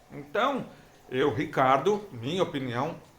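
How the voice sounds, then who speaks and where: Room echo is audible as a man speaks very slowly. His pitch is fairly high, with ordinary variation. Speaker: hearing-impaired vlogger sharing experience. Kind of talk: casual vlog talk. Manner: halting.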